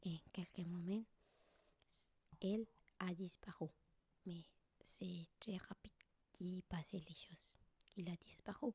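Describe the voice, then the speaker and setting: A soft-spoken, whispering woman with a gentle tone, somewhat breathy, at a very slow pace, in a dry, close sound with no echo. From Colombia. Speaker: Colombian living in France, vlogger / ASMR creator. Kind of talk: ASMR soft spoken storytelling, personal scary story. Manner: soft-spoken, gentle, whispery.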